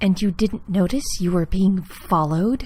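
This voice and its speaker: A put-on character voice, female-sounding and medium in pitch, hissing with an angry tone. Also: moderate pace. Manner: hissed, angry, through clenched teeth.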